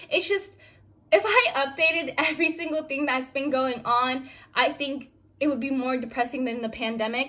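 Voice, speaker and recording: Her voice raised and projected, a woman speaks at a moderate pace in a high, bright, sharp tone with ordinary pitch variation. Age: young. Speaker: vlogger. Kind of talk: casual vlog talk. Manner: halting, many fillers.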